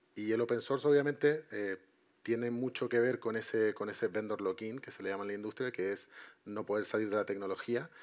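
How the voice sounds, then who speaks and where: The man's fairly quick delivery comes over a quiet background. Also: medium pitch for a man, fairly even intonation. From Chile. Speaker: IT consultant and entrepreneur; panelist. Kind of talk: panel discussion. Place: stage.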